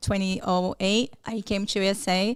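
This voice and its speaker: A woman with a Brazilian accent speaks at medium pitch and a fairly slow pace. Her intonation stays fairly even. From Brazil, São Paulo. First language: Portuguese. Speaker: psychologist. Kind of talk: podcast interview.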